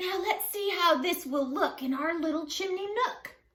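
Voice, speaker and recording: In a put-on character voice, a woman speaks at an extremely high pitch. Her pace is moderate. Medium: read story.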